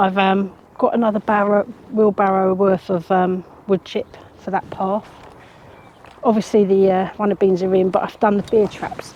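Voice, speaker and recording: A woman in an English accent speaks at medium pitch and a moderate pace with monotone, flat intonation and long, frequent pauses, with noticeable background noise. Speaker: gardening vlogger. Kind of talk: casual vlog monologue. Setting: outdoors at allotment. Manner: quiet, hushed.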